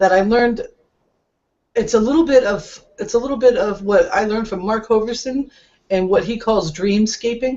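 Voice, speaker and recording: A woman with an American accent and a plain, everyday voice speaks at a fairly high pitch and moderate pace, with ordinary pitch variation. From US Northeast (Montauk, New York). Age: 40s. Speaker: network marketing coach. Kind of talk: webinar talk. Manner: casual, with many fillers.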